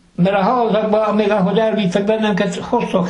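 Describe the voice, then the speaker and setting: Here a man speaks with a Gömör accent at a moderate pace. Background noise is noticeable. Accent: Gömör Palóc dialect. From southern Slovakia. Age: old. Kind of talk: interview answer, reminiscence.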